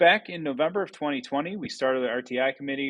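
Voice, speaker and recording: Lively intonation marks this man's fairly high pitch. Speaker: school staff committee member. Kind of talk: staff presentation. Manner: fast.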